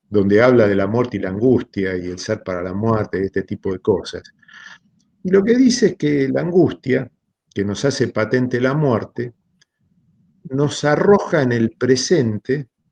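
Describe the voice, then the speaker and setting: Using an unremarkable speaking voice, a man talks at a fairly slow pace with medium pitch and lively intonation, in a dry, close sound with no echo. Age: 60s. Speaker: philosophy lecturer. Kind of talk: seminar talk.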